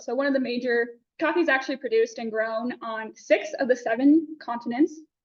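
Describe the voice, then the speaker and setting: A woman with a Texan accent speaks loudly at a high pitch. Her pitch varies in an ordinary way. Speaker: student presenter. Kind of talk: class presentation. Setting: classroom. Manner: fast.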